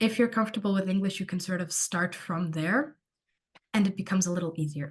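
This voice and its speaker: In a Portuguese accent, a woman speaks with a fairly low pitch and a somewhat breathy sound. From Portugal. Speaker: university student. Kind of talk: online Q&A session.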